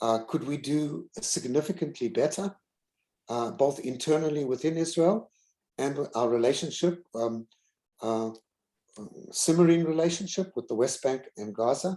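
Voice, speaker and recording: Pausing long and often, a man with a South African accent speaks in a fairly high pitch with a dark, mellow tone. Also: lively intonation, moderate pace. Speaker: university president. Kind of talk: keynote Q&A answer. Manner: halting, many fillers.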